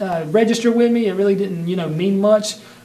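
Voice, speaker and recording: A high-pitched man with a Southern US accent is heard with noticeable background noise and audible room echo. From US South, North Carolina. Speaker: martial arts instructor. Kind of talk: personal history monologue. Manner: casual with many fillers.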